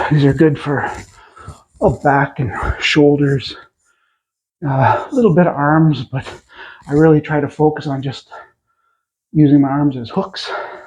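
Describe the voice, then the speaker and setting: A man with a fairly high pitch speaks at a fairly slow pace in a somewhat breathy voice, his intonation fairly even and broken by long, frequent pauses. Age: 60s. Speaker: fitness vlogger. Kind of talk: workout tutorial. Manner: halting, out of breath between sets.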